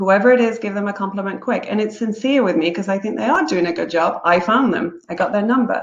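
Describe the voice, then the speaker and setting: The speaker has an English accent, a moderate pace, and ordinary pitch variation. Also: woman. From England. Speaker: real estate broker. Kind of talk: webinar presentation. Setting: online webinar.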